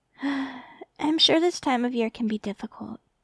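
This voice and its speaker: A high-pitched woman's voice, gentle in tone, with lively intonation. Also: dry, close sound with no echo. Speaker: ASMR roleplay performer. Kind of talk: ASMR roleplay, comforting girlfriend-experience monologue. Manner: soft, gentle, comforting.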